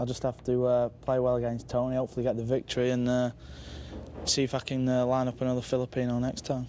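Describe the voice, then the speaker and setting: A man's medium-pitched, dark, mellow voice at a very fast pace, with very even loudness and monotone, flat intonation. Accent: Mancunian. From northern England, Manchester. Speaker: pool player. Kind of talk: post-match style interview.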